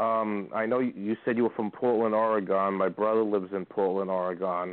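With a plain, everyday voice, a man talks at a moderate pace and a fairly low pitch. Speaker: caller. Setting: phone call.

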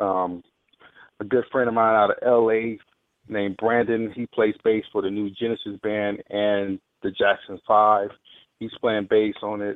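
A man with an American accent, fairly low in pitch, at a fairly slow pace with monotone, flat intonation. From Mississippi, small town. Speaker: drummer. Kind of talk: radio interview.

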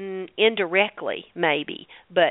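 A woman with a medium-pitched voice speaks in a Southern US accent. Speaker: holistic dentist. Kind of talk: radio interview.

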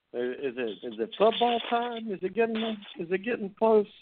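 A man's voice at a moderate pace with very wide pitch swings. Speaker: sports talk radio host. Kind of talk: live sports talk show. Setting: live internet radio show. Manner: casual, friendly banter.

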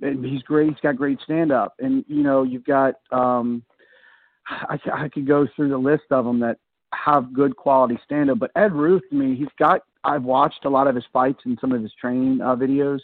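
A man's fairly high-pitched voice, an unremarkable speaking voice, at a moderate pace. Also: fairly even intonation. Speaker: college wrestling coach. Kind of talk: casual radio chat about wrestling.

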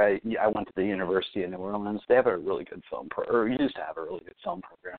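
A man with an American accent. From Fort Wayne, Indiana, US Midwest. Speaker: filmmaker. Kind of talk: casual interview.

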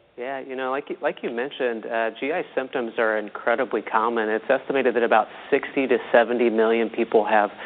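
Against noticeable background noise, a man speaks at a moderate pace and medium pitch, his intonation fairly even. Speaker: digestive health doctor. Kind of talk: radio interview.

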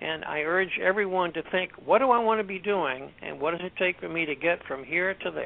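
Pitched high, a man speaks at a fairly quick pace with ordinary pitch variation. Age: 70s. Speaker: author and cyclist. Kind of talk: casual interview.

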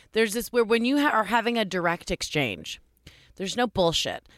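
A woman speaks at a very fast pace with ordinary pitch variation. Her tone is bright and sharp. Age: 30s. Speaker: comedian. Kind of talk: casual chat. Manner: high-strung.

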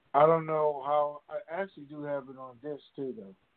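A man speaks at a fairly slow pace. His pitch sits fairly high. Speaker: radio show co-host answering caller questions. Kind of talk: call-in question and answer. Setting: conference call.

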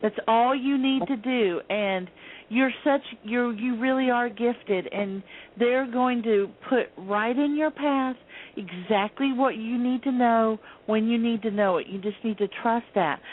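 A woman talks at a fairly slow pace in an ordinary speaking voice. Her pitch sits fairly high and varies in an ordinary way. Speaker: psychic healer and artist. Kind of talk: psychic reading on radio.

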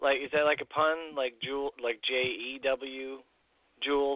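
This man has an American accent. His voice sits fairly high. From rural Illinois. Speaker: podcast host. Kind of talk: casual chat.

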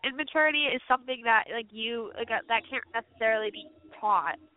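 In a normal speaking voice, a woman with an American accent talks at a fairly quick pace, her fairly high pitch moving with lively intonation. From Albany, New York. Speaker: college student and basketball commentator. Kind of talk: casual sports talk.

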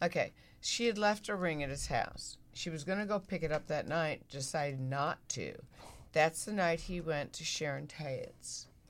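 A woman's ordinary speaking voice with an American accent, moderate pace, ordinary pitch variation, very clean recording and silent background. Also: fairly low pitch for a woman. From US Midwest. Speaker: former magazine centerfold model. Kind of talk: interview, storytelling. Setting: studio.

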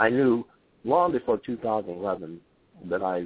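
A man speaks at a moderate pace with a slightly husky edge.

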